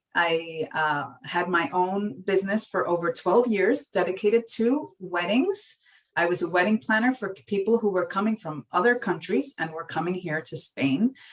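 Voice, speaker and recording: In a strong New York accent, a woman of medium pitch speaks at a moderate pace with lively intonation and hardly any pauses. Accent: thick New York. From New York City. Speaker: marketing professor. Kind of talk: lecture.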